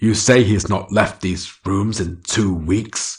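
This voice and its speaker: A man growls in a put-on character voice at a fairly low pitch. He speaks fairly slowly with fairly even intonation. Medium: read story. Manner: accusatory, stern.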